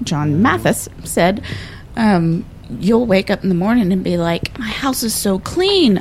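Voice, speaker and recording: A woman's lively intonation at a fairly slow pace, over noticeable background noise. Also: medium pitch for a woman. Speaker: bar co-owner and artist. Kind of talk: casual chat.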